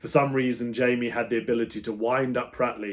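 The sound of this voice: The speaker is a man at a moderate pace. His intonation is fairly even.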